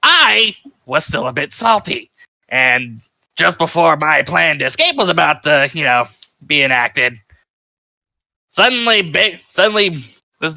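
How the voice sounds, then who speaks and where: A man performs a raspy, put-on character voice at a fairly high pitch and a moderate pace. He leaves long pauses, and often. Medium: actual play. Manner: crude, rambling, sarcastic.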